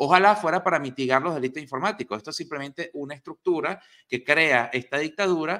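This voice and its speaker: Against a quiet background, a man talks in a bright, sharp, animated tone with lively intonation. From Venezuela. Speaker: news commentary host. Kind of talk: news commentary. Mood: indignant, angry at government. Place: home room. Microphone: video call.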